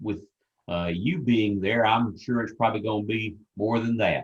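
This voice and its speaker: Here is a man with a fairly low pitch. His pitch variation is ordinary. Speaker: event host interviewer. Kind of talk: interview. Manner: radio DJ style.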